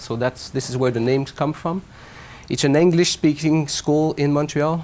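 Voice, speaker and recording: Intonation stays fairly even as a man speaks with a Quebec accent. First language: French. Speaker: professor. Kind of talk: lecture.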